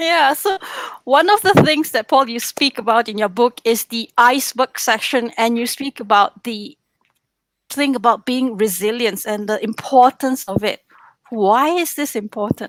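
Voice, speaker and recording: Dry and close with no echo, a woman's high-pitched voice carries a non-native accent and lively intonation. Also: moderate pace. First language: not English. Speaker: trainer. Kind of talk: interview questions.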